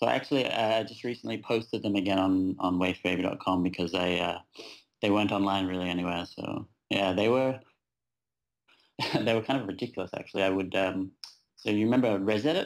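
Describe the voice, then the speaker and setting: A man with an Australian accent speaks at a very fast pace in a fairly low pitch, with ordinary pitch variation and long, frequent pauses, on a very clean recording with a silent background. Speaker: web designer and developer. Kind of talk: casual interview.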